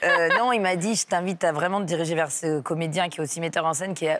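Over light background noise, a woman talks at a fairly quick pace in a plain, everyday voice, fairly low in pitch. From southern France, near Aix-en-Provence; France. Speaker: comedian; comedian guest. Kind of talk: radio interview. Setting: radio studio, live morning show. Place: studio. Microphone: lapel.

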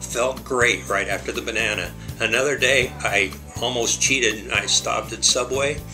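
Clear music plays in the background. A man speaks over it at a moderate pace. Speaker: bariatric surgery patient. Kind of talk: patient testimonial. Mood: positive, upbeat. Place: office. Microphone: webcam.

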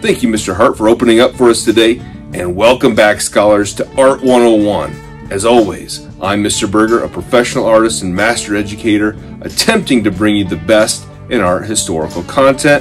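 Over clear music in the background, the speech moves at a moderate pace with ordinary pitch variation. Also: man, fairly low pitch for a man. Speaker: art teacher hosting an online series. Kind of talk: lecture. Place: home room.

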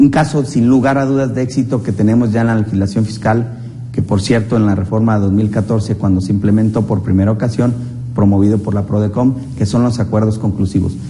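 Intonation stays fairly even as a man speaks fairly quickly. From Mexico. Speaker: program host, accountant. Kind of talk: TV interview. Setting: studio. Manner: halting, many fillers. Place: studio. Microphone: lapel.

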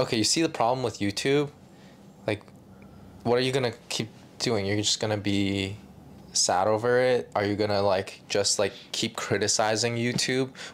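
Keeping his loudness very even, a man talks at a moderate pace with fairly even intonation and long, frequent pauses. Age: 20s. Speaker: YouTuber and filmmaker; YouTuber. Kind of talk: casual chat. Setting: casual room, on a couch or bed. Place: home room.

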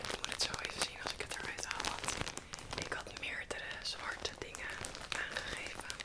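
Someone whispers at a fairly slow pace with hardly any pauses. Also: woman. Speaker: ASMR content creator. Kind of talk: ASMR show and tell haul. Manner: whispering, soft-spoken. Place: home room. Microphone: earbuds.

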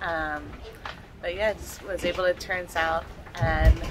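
A woman talks at a fairly slow pace. Clear music sits in the background behind her. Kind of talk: casual vlog chat. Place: boat. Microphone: phone near.

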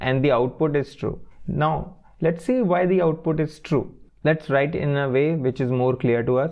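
Over a quiet background, the speaker's pitch varies in an ordinary way. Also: man. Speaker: coding tutor. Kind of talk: tutorial.

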